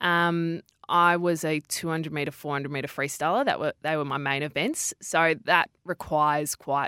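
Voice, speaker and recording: A woman with an Australian accent speaks at a moderate pace and a very deep, low pitch. The recording is very clean with a silent background and a dry, close sound with no echo. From Western Australia (Perth). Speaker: sports TV presenter. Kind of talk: interview. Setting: studio.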